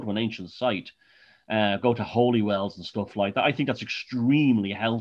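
With an Irish accent, a man speaks at medium pitch and a moderate pace. His intonation is fairly even, and the background is quiet. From Ireland. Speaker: author. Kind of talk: casual interview.

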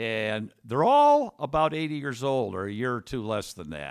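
A man with an American accent and medium pitch speaks with very wide pitch swings in a very clean recording against a silent background. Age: 70s. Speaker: author. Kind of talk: interview.

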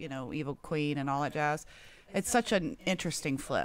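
The woman's voice has a very deep, low pitch. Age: 40s. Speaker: guest panelist. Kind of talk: casual chat.

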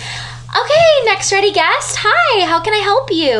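This is a put-on character voice with an extremely high pitch. Clear background noise runs underneath. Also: fairly slow pace. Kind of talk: polite, professional. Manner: brisk, cheerful.

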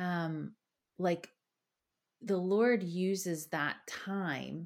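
On a very clean recording with a silent background, a woman with a Philadelphia accent speaks at a fairly low pitch. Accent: Philadelphia American. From Philadelphia, US. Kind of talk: casual chat.

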